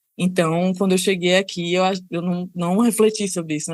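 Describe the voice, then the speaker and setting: A woman with a medium pitch speaks in a Salvador accent. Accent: northeastern Brazilian (Salvador). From Salvador, Bahia, Brazil. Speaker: service designer and researcher. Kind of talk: podcast interview.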